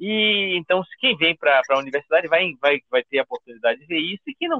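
A man's fairly high voice with very wide pitch swings at a fairly quick pace. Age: 50s. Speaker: history professor. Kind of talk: interview.

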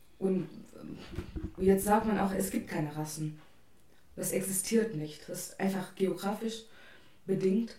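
Audible room echo surrounds a woman speaking at a fairly slow pace and a medium pitch. Her intonation is fairly even, with long, frequent pauses. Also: big swings in loudness. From India. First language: an Indian language (speaking German). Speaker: international student. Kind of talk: casual chat.

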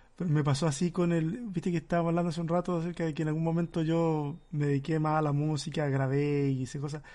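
His tone is dark and mellow. The man's pitch is fairly high, and his intonation fairly even. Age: 40s. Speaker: pastor and podcast host. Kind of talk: casual chat.

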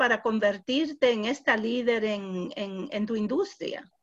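Fairly high pitch from a woman with an English accent. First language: English (speaking Spanish). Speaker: podcast host. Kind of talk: interview.

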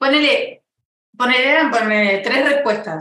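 Speaking very slowly in a raised, projected voice, a woman pitched high swings her pitch very widely. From Uruguay. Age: 20s. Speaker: interview guest. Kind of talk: casual chat.

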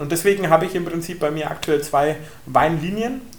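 A man with a Franconian accent, animated in tone, fairly high in pitch with ordinary pitch variation, over noticeable background noise. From southern Franconia, Germany (Bullenheim). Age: 20s. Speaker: winemaker. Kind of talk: wine tasting talk.

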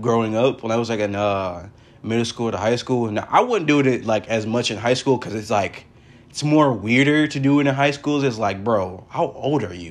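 A man at medium pitch talks in an American accent. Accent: American, casual. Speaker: podcast host. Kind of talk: casual solo podcast chat. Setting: recorded at home. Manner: casual, animated, uses voice impressions.

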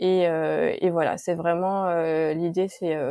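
A woman at a very slow pace with a dark, mellow tone and fairly low pitch, dry, close sound with no echo, very clean recording and silent background. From Paris suburbs (Sarcelles, Val-d'Oise). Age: 30s. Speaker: entrepreneur, care centre founder. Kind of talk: interview.

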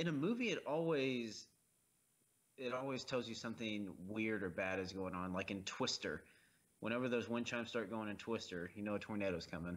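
This man has an ordinary speaking voice, fairly low in pitch, moving at a fairly quick pace in a very clean recording with a silent background. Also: ordinary pitch variation. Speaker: podcast co-host. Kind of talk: casual movie commentary banter.

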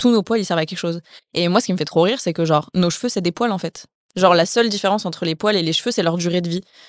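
Against a quiet background, a woman at medium pitch speaks with ordinary pitch variation in a plain, everyday voice. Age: 20s. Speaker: author and content creator. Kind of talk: casual interview.

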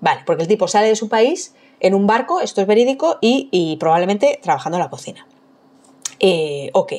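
A woman with a Madrid accent, fairly quick pace and very wide pitch swings. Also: fairly high pitch for a woman. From Madrid, Spain. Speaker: food historian and archaeologist. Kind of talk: casual chat.

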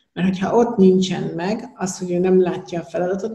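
A woman talks at a fairly quick pace with a fairly low pitch and monotone, flat intonation. Noticeable background noise and audible room echo accompany her. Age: 50s. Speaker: business mentor. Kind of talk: casual interview.

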